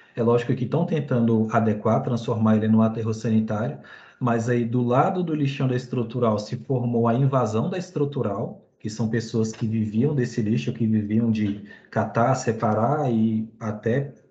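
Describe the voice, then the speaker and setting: At a moderate pace, a man talks with a medium pitch and a dark, mellow tone that is somewhat breathy. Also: ordinary pitch variation. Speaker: student presenter. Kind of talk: class presentation.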